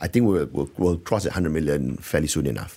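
A man's very fast speech with vocal fry and a dark, mellow tone on a very clean recording with a silent background. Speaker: company founder and managing director. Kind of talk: business interview. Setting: radio studio.

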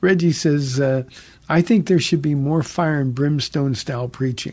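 A soft-spoken man at a fairly high pitch, with ordinary pitch variation. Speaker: pastor and radio call-in host. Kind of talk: radio call-in Bible Q&A. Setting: radio studio. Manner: soft-spoken, never raises voice; hesitant, many fillers.

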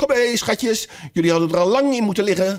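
A man puts on a shaky, high-pitched character voice. His loudness stays very even and his pitch varies in an ordinary way.

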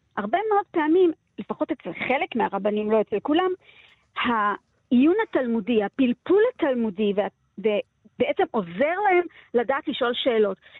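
A woman speaks at a high pitch with very wide pitch swings. Long pauses come often. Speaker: literature lecturer. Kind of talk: interview.

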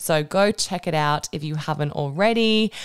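This woman with an Australian accent has an animated tone and lively intonation. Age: 30s. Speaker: podcast host and Pilates instructor. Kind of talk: casual solo update. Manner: chatty, animated.

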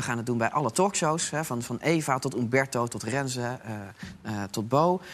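This man talks at a moderate pace, his pitch medium and its variation ordinary. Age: 40s. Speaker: opinion pollster. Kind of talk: casual chat. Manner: halting.

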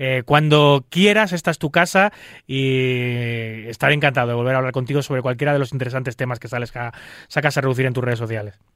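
Very fast speech from a man, with ordinary variation in pitch. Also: medium pitch for a man, very clean recording, silent background. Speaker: radio poker show host. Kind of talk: radio talk show.

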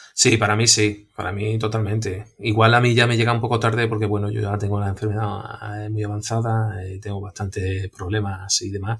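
Here a man talks at a moderate pace in a fairly low pitch, with monotone, flat intonation and hardly any pauses. Noticeable background noise can be heard. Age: 40s. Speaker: patient with a genetic blood disease. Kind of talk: personal testimony.

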